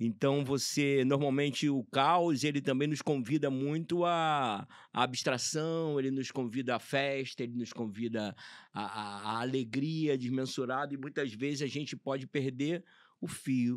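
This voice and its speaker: On a very clean recording with a silent background, a man with a medium pitch speaks at a fairly slow pace with fairly even intonation. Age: 60s. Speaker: clown. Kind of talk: casual chat. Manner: halting.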